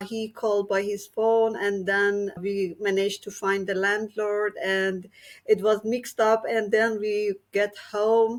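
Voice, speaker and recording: In a very clean recording with a silent background, a woman with a Persian accent speaks very slowly in a monotone, flat way. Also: medium pitch for a woman. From Iran. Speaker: activist. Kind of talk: casual chat.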